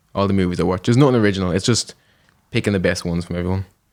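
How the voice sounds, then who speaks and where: A man with an Irish accent speaks in a very deep, low voice with fairly even intonation. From Ireland, Dublin. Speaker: comedian. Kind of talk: casual chat.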